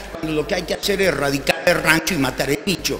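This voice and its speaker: Background noise is noticeable here. Through it comes a man's voice. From Argentina, Buenos Aires. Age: 60s. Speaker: doctor and panelist. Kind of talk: conference talk with slides.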